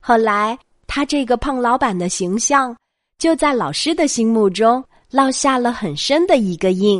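A woman speaks with a high pitch, lively intonation and big swings in loudness. Her pace is fairly slow over a quiet background. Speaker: children's bedtime story host. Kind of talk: bedtime storytelling. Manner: soft-spoken.

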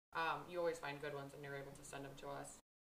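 A woman's voice with a bright, sharp tone. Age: 30s. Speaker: podcast host. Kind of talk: casual chat.

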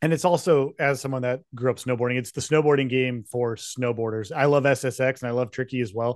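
A man with an American accent and an unremarkable speaking voice talks at a fairly quick pace and medium pitch, with fairly even intonation and hardly any pauses. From Utah. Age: 30s. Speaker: video game podcast co-host. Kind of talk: casual chat.

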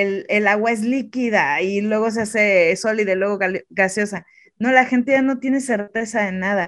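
Intonation stays fairly even as a woman talks at medium pitch. She has a Mexican accent. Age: 30s. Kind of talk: interview.

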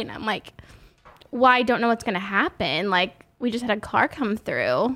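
A woman talks at a moderate pace with a fairly high pitch and ordinary pitch variation. It is an ordinary speaking voice. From Oklahoma, rural corner near Arkansas. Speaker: hairstylist. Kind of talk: casual chat.

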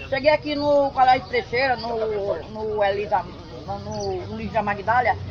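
Crowd noise fills the background as a woman speaks at a fairly slow pace. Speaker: farmer. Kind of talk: interview.

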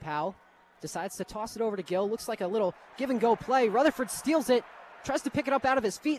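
Talking very fast, a man with a high pitch uses lively intonation. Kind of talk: live commentary. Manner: fast play-by-play delivery.

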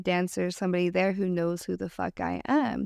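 Her voice is an unremarkable speaking voice at medium pitch and moderate pace, as this woman is recorded very cleanly against a silent background with a dry, close sound with no echo. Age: 20s. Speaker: exotic dancer. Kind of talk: casual chat.

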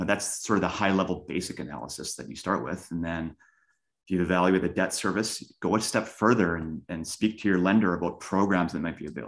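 Against a quiet background, a man with a very deep, low voice and vocal fry talks at a very fast pace with ordinary pitch variation. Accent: Canadian. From Canada, Winnipeg. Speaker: real estate investor. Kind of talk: interview. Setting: call.

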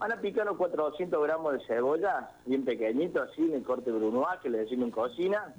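A man at a moderate pace, his intonation lively. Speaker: cook. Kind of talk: cooking tutorial.

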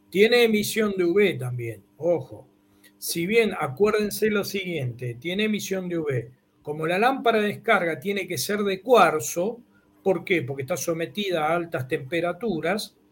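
Speaking at a fairly slow pace, a man uses a high pitch for a man and lively intonation. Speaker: engineer and university professor. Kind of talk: technical explanation in a video chat.

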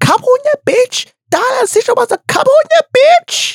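An extremely high-pitched, female-sounding put-on character voice at a moderate pace. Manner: angry, aggressive.

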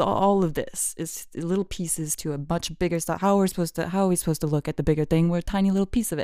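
A woman with a fairly low pitch and ordinary pitch variation talks at a fairly quick pace. The recording is very clean, with a silent background. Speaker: solo podcaster. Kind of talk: casual monologue. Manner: fast; animated.

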